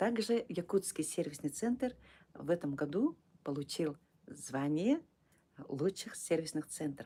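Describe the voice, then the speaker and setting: A woman speaks at a very slow pace in a fairly low pitch, her intonation lively and her dark, mellow tone broken by long, frequent pauses. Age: 60s. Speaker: direct sales distributor running a service centre. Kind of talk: live stream sales talk. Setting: live stream. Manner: halting; soft-spoken. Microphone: too quiet.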